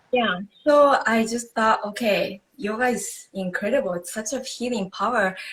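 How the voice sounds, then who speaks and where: Speaking with a Japanese accent, a woman uses a fairly high pitch, ordinary pitch variation and a moderate pace. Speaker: yoga instructor. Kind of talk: interview on live video stream. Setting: live video stream.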